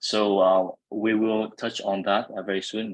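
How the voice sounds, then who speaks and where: The recording is dry and close, with no echo. The speaker has a Vietnamese accent. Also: man. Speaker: event moderator. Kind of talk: webinar panel moderation. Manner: hesitant, many fillers.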